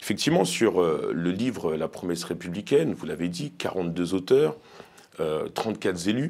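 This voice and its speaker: The pace is fairly slow. A man speaks in a very deep, low pitch. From Paris suburbs, France; France. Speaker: elected officials' association leader; guest. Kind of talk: interview. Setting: studio. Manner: hesitant, many fillers. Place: studio. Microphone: lapel.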